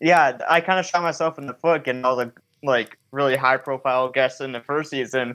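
With an American accent, the speaker talks at a fairly quick pace in a bright, sharp tone with fairly even intonation. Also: man, medium pitch for a man. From Michigan. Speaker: paranormal filmmaker and podcaster. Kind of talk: casual chat.

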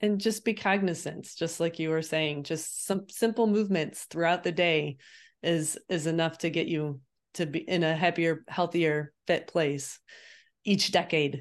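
An unremarkable speaking voice belongs to this woman. Her pitch sits fairly low. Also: fairly even intonation. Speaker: podcast co-host and running coach. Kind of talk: casual chat.

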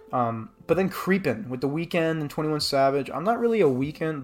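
Moderate pace and ordinary pitch variation in an ordinary speaking voice. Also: man. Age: 20s. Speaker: podcast host, music reviewer. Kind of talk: album review monologue; casual personal message to family. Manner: casual with frequent fillers.

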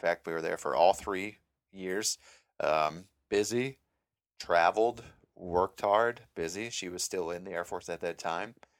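This man talks fairly slowly with an Upper Midwest accent, his pitch very deep and low and his intonation fairly even. The recording is very clean, with a silent background. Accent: Upper Midwest American. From Minnesota, Mankato. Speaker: podcast host, active duty airman. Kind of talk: solo podcast monologue. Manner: casual, many filler words.

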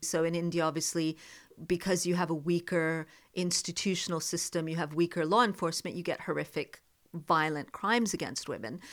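Fairly low in pitch, a woman with an American accent and an unremarkable speaking voice talks at a fairly quick pace with fairly even intonation on a very clean recording with a silent background. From US South. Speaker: journalist and broadcaster, podcast co-host. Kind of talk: casual chat. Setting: in person in a home study.

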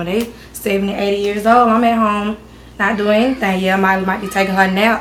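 A woman at a fairly quick pace, fairly even in intonation, amid noticeable background noise and audible room echo. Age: 20s. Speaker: adult daughter of a cousin, young mother. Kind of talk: casual chat.

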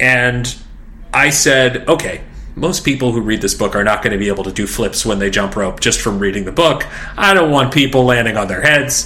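A man's medium-pitched voice amid noticeable background noise. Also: lively intonation, moderate pace. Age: 40s. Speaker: fitness journalist and author. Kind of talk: interview.

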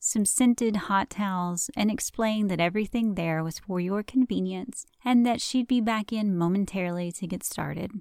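In a Southern US accent, a woman talks with a calm, animated tone and ordinary pitch variation. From US South. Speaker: podcast host and esthetician. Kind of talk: casual profane rant. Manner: animated, sarcastic, laughing; mock-calm, slowed storyteller cadence breaking into wry asides.

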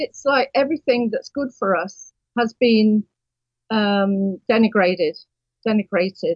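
Speaking at a fairly slow pace with long, frequent pauses, a woman sounds somewhat breathy, with a fairly high pitch and ordinary pitch variation. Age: 60s. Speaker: publisher. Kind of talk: phone call chat. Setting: phone call.

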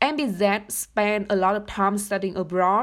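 A woman with a Vietnamese accent talks at a moderate pace and a medium pitch. The recording is very clean, with a silent background. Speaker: university student and research intern. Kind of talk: podcast interview.

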